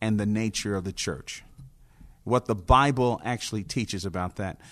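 An ordinary speaking voice from a man with an American accent, medium in pitch with ordinary pitch variation. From New Jersey (Newark). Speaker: pastor. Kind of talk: interview. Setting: conference venue.

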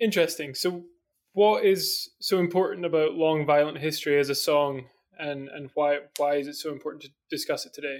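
A man with a Scottish accent and a fairly high pitch speaks at a fairly quick pace, his intonation fairly even but his loudness swinging widely. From Scotland. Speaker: podcast host. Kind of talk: interview.

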